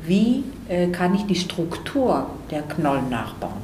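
Over noticeable background noise and audible room echo, a woman speaks with a fairly low pitch. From Greece (Athens). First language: Greek (speaking German). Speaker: ceramic artist. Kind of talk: interview. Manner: halting, many fillers.

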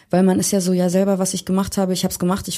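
A woman speaks with a dark, mellow tone. The recording is very clean, with a silent background. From Hamburg, Germany. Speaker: pop musician. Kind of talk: casual interview.

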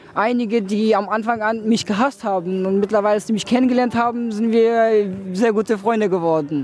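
Music plays behind a man speaking at a high pitch. His pace is moderate and his intonation fairly even. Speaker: young refugee interviewee. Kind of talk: interview. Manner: colloquial.

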